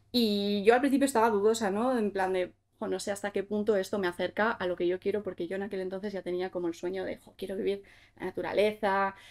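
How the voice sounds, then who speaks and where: At a very fast pace, a woman talks with fairly even intonation and big swings in loudness, the background quiet. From Basque Country (Gipuzkoa), Spain; Basque Country, Spain. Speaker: content creator; podcast guest. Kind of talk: casual interview chat; interview answer. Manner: hesitant, many fillers. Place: studio.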